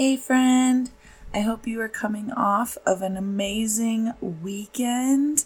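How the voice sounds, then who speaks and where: A woman speaks at a very slow pace. Her voice is somewhat breathy and fairly high in pitch. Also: ordinary pitch variation. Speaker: health podcast host. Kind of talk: casual chat.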